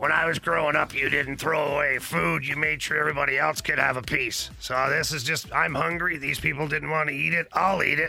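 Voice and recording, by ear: A man puts on a raspy character voice, fairly high in pitch. He talks at a fairly quick pace over clear background noise.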